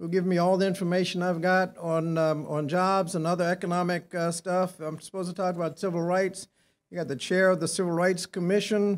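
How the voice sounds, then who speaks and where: Speaking at a fairly quick pace, a man holds a high pitch in monotone, flat intonation. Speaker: speaker. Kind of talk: speech with anecdote. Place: hall. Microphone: podium.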